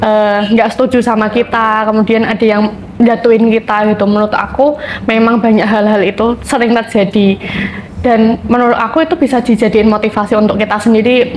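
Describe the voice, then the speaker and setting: Over noticeable background noise, a woman talks at a fairly quick pace in a fairly high pitch, with fairly even intonation and very even loudness. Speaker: student guest speaker. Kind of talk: podcast discussion.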